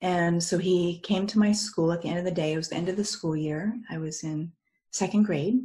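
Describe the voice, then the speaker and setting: A woman with an American accent, fairly low-pitched and somewhat breathy, dark and mellow in tone, at a fairly quick pace with fairly even intonation. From United States. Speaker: near-death experience speaker. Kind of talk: talk to a group. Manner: halting.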